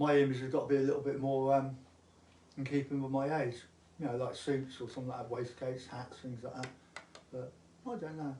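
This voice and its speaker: With an English accent, a man at medium pitch talks at a fairly quick pace in a flat monotone, leaving long, frequent pauses amid noticeable background noise and audible room echo. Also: big swings in loudness. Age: 70s. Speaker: musician. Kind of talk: casual chat.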